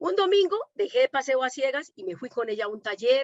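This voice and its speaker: With a Colombian accent, a woman talks at a fairly quick pace, her pitch swinging very widely. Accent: Colombian, still noticeable. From Colombia, Medellín. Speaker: domestic worker and activist. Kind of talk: panel conversation. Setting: online conference.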